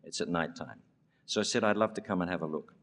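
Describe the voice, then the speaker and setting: A man speaks with an Australian accent. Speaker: education leader receiving award. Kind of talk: award acceptance speech with storytelling.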